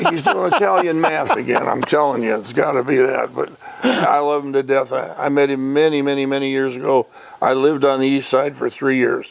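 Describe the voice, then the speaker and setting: In a Michigan accent, a man speaks at a fairly quick pace and fairly high pitch amid noticeable background noise. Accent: US Midwest (Michigan). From Detroit area, Michigan. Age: 80s+. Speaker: retired racing businessman. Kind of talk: casual interview chat. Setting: radio show interview. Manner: animated storytelling.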